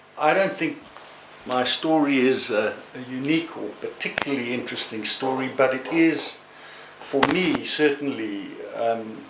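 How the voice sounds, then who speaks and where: Speaking at a moderate pace, a man has a fairly high pitch and ordinary pitch variation. Noticeable background noise and audible room echo fill the recording. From South Africa. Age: 60s. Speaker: human rights lawyer. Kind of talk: testimony. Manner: halting.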